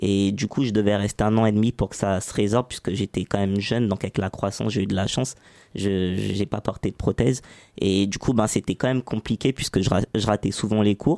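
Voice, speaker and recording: A man's fairly low, dark and mellow voice with fairly even intonation, dry and close with no echo. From France, Saint-Ouen (Paris suburbs). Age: 20s. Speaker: entrepreneur. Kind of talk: interview.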